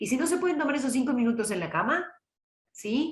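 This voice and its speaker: The tone is calm and somewhat breathy, with very wide pitch swings. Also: woman. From Córdoba, Argentina (Las Varillas, Villa María). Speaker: oratory teacher and trained announcer. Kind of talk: online lecture. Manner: calm, conversational.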